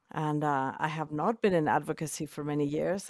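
With a Spanish accent, a woman speaks at a very deep, low pitch and a moderate pace with fairly even intonation, in a very clean recording with a silent background and a dry, close sound with no echo. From Mexico City, Mexico. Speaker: medicine woman and teacher. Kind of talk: interview conversation.

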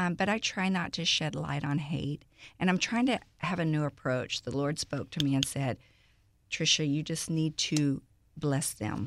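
Very deep and low in pitch, a woman with a Texan accent talks at a moderate pace with ordinary pitch variation on a very clean recording with a silent background. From Houston, Texas (Aldine, Greenspoint). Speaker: social media personality. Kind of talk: casual interview.

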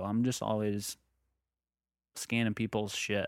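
Here a man at a medium pitch talks at a moderate pace in an ordinary speaking voice. The sound is dry and close with no echo, the recording very clean with a silent background. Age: 20s. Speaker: podcast host. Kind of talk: casual chat.

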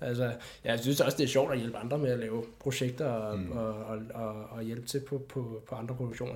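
A man's somewhat breathy, medium-pitched voice in a monotone, flat intonation, at a fairly quick pace, with audible room echo. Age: 20s. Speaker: filmmaker. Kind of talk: casual chat. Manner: halting.

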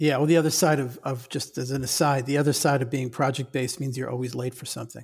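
A man's somewhat breathy, medium-pitched voice in monotone, flat intonation, at a very fast pace with hardly any pauses. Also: very clean recording, silent background. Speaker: podcast host. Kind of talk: interview conversation.

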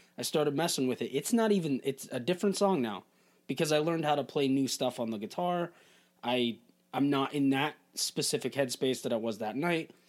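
A man with a fairly high pitch and a plain, everyday voice, talking at a fairly quick pace with lively intonation. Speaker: musician, former bandmate. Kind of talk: casual chat.

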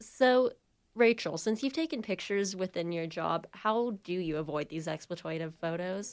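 At a moderate pace, a woman with a plain, everyday voice speaks at a medium pitch with lively intonation. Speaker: journalism student, student podcast host. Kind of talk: casual chat.

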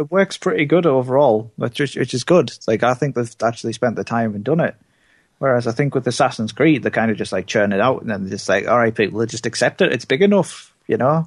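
Very fast and with lively intonation, a man talks at a medium pitch, recorded dry and close with no echo over a quiet background. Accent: British. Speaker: returning podcast co-host. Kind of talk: casual chat.

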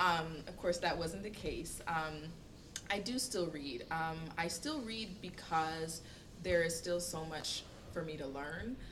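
With an American accent, a woman of fairly low pitch speaks at a very slow pace with ordinary pitch variation amid noticeable background noise. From Florida, near Eatonville. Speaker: nonprofit community affairs director. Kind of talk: casual panel discussion.

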